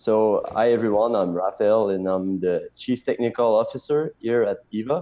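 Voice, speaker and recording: A man speaks at a medium pitch with a French accent. His pace is moderate and his intonation fairly even. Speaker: blockchain startup technical officer. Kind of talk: interview.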